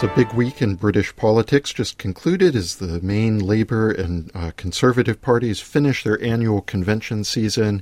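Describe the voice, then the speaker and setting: A man with an American accent speaks at a moderate pace with hardly any pauses, his pitch fairly low and its variation ordinary. The sound is dry and close, with no echo. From United States. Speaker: podcast host, newspaper editorial writer. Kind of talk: political interview. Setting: studio. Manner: hesitant, many fillers.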